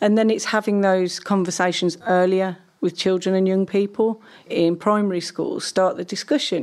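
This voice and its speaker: This is an unremarkable speaking voice. Its speed stays moderate. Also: woman. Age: 40s. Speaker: academic researcher on young people. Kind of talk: interview discussion.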